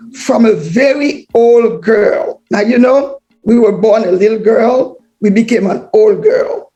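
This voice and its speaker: Over music in the background, a woman talks at a very slow pace in a fairly high pitch. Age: 70s. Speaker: author. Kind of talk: speech.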